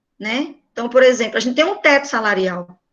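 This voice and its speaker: High pitch and lively intonation from a woman. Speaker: teacher. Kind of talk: online class lecture. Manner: informal.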